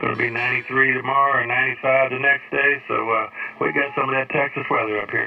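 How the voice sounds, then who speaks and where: Over music in the background, a man with an American accent rushes along at a very fast pace, his medium-pitched voice monotone and flat. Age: 60s. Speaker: ham radio operator. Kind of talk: amateur radio contact. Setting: radio transmission.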